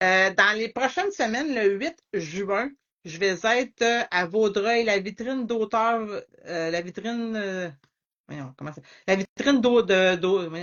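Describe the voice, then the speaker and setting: Speaking at a very slow pace, a woman with a medium pitch shows big swings in loudness. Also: ordinary pitch variation. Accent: Quebec. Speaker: author. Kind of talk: interview. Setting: Instagram live.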